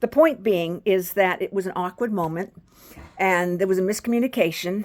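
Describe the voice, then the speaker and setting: A woman's plain, everyday voice, medium in pitch, with ordinary pitch variation at a moderate pace. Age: 60s. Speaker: video blogger. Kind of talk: personal storytelling monologue.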